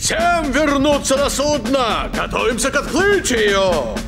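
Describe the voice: With clear music in the background, a man does a cartoonish character voice at an extremely high pitch, with big pitch swings and a fairly slow pace.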